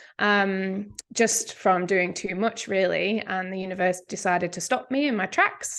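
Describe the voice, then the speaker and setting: A woman with an English accent at a medium pitch, fairly even intonation and a moderate pace, against a quiet background. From England. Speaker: medical cannabis educator. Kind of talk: podcast interview.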